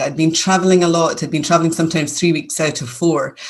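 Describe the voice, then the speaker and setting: Fairly even intonation carries this voice with a Scottish accent. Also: woman. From Scotland, near Glasgow. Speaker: business owner. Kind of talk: interview.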